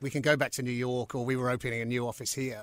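With a southern English accent, a man speaks at a medium pitch. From London and South East England. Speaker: company CEO. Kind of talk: interview. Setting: studio.

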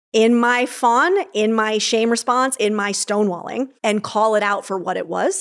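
A woman with an unremarkable speaking voice talks at a fairly high pitch, her pitch varying in an ordinary way. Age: 30s. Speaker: psychologist and author. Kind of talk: casual chat. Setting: in-person studio conversation.

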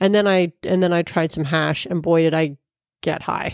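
A normal speaking voice at a moderate pace, with ordinary pitch variation and a dry, close sound with no echo. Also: woman. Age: 40s. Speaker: podcast host. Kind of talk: casual chat.

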